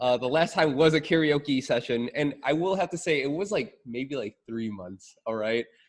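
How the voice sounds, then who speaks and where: Animated in tone, a man with a fairly high pitch talks at a moderate pace with lively intonation and hardly any pauses. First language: not English. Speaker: IT professional in local government. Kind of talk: casual chat.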